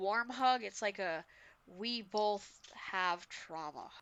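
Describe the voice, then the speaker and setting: A woman speaks at a very slow pace with a Massachusetts accent. Her intonation is lively. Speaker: podcast co-host. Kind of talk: casual chat.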